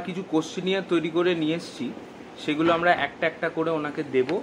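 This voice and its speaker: Over noticeable background noise, a man with a high pitch for a man speaks in fairly even intonation. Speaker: researcher, interviewer. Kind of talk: interview introduction to camera.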